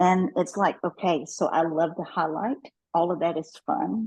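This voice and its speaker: Speaking with a Kentucky accent, this woman keeps a moderate pace. Her pitch is fairly low. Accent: Kentucky twang. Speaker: network marketing professional. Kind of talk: interview.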